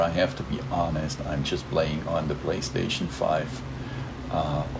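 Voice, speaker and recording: Amid audible room echo and noticeable background noise, a man speaks with a German accent. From southern Germany, Stuttgart area (Swabia). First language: German (Swabian dialect). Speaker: gaming YouTuber. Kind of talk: gameplay commentary. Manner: casual, with many fillers.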